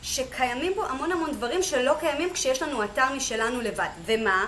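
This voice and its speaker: A woman's high voice with lively intonation at a fairly slow pace, plus audible room echo and noticeable background noise. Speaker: Amazon seller, business owner. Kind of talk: interview.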